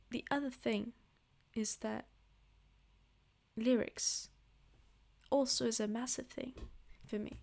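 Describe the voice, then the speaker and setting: With a non-native accent, a woman speaks in fairly even intonation, leaving long, frequent pauses. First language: not English. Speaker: music reviewer. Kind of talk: casual album review monologue. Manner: hesitant, filler-heavy.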